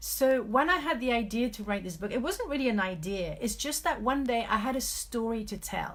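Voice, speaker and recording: A woman with vocal fry, lively intonation and a fairly high pitch. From France (Paris). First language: French. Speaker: author and life coach. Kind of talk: live video talk. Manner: hesitant, many fillers.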